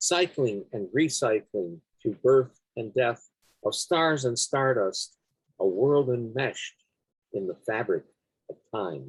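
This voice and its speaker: A man with a somewhat breathy, medium-pitched voice speaks very slowly with long, frequent pauses and lively intonation, recorded dry and close with no echo. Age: 70s. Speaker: poet. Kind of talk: poetry reading; casual chat.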